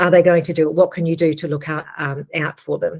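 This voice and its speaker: The pace holds moderate. An Australian accent shapes the speech. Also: woman. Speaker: agricultural education staff presenter. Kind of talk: webinar presentation. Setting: live webinar.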